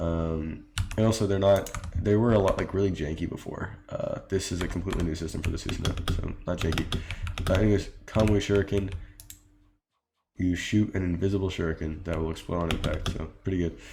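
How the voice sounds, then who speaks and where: Somewhat breathy speech at a fairly quick pace with fairly even intonation carries audible room echo. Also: man, very deep, low pitch for a man. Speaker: game mod developer. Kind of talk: tutorial. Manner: fast; hesitant, many fillers.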